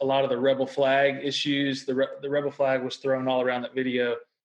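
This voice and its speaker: A man of medium pitch speaks with a Southern US accent in a monotone, flat intonation. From Mississippi. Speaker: podcast co-host. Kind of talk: casual chat.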